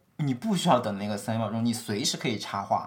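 Using an ordinary speaking voice, a man talks fairly quickly at medium pitch with lively intonation. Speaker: podcast co-host, tech worker. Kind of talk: casual chat.

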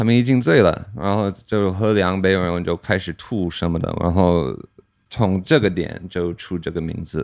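Speaking with an American accent at a moderate pace, a man with a very deep, low voice shows ordinary pitch variation against a quiet background. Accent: American-accented Mandarin. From US, Pennsylvania. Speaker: brewer. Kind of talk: casual chat. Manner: halting.

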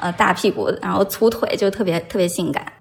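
A woman's medium-pitched voice with ordinary pitch variation, amid noticeable background noise. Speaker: podcast guest. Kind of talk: casual chat.

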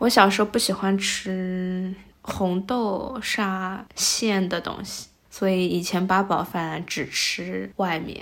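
Words come at a very slow pace, the intonation fairly even throughout. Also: woman, medium pitch for a woman. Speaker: podcast host, daughter. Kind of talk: casual chat.

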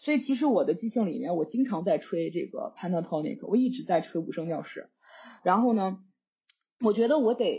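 A woman speaks at a fairly high pitch with a dark, mellow, somewhat breathy tone and very wide pitch swings. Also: fairly quick pace. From China. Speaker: jazz flute student. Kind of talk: casual chat.

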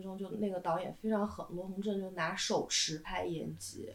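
Ordinary pitch variation from a woman at a moderate speed, noticeable noise in the background. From southern China. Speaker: screenwriter. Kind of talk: casual chat.

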